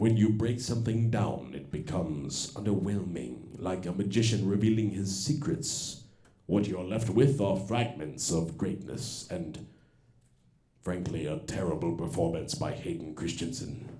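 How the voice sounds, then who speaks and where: In a put-on character voice, the speaker uses lively intonation at a moderate pace, with a slight echo. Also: man, fairly low pitch for a man. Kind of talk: stage comedy parody. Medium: stage play. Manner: grave, commanding.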